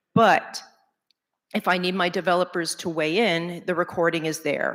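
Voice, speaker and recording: A woman with a New York accent speaks at a fairly low pitch with fairly even intonation. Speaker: conference speaker, agency salesperson. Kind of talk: conference talk.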